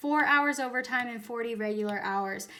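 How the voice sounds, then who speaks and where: A woman's raised, projected voice carries a bright, sharp, animated tone at a moderate pace, with ordinary pitch variation and audible room echo. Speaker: teacher. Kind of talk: tutorial.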